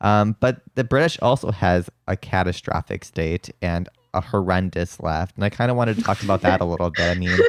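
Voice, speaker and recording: With a Midwestern US accent, this man speaks at a fairly quick pace in a very deep, low pitch with ordinary pitch variation, the sound dry and close with no echo. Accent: Midwest American with lisp. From US Midwest. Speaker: podcast host. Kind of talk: podcast interview.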